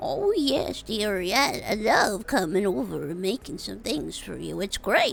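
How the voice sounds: Over clear background noise, a female-sounding put-on character voice talks at a fairly slow pace with hardly any pauses.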